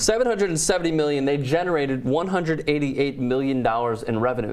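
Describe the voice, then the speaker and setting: Over noticeable background noise and audible room echo, a man speaks very fast with lively intonation. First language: not English. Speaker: sports show host. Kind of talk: casual sports talk.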